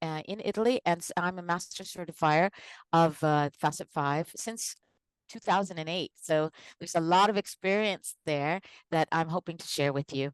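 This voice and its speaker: An unremarkable speaking voice with an American accent talks at a moderate pace with ordinary pitch variation and big swings in loudness, in a dry, close sound with no echo. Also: woman. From United States. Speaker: organizational psychologist and consultant. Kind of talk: live online presentation.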